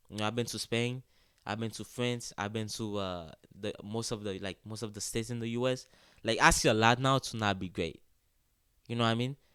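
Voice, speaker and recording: Speaking at a fairly quick pace with a Haitian accent, a man with a medium pitch and a bright, sharp tone comes through on a very clean recording with a silent background. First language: Haitian Creole. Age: 20s. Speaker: college soccer player. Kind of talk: casual interview. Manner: animated.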